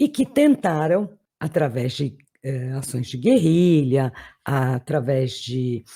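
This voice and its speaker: Very slow and somewhat breathy, the voice has a dark, mellow tone. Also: woman. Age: 60s. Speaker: political commentator. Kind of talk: political monologue to camera.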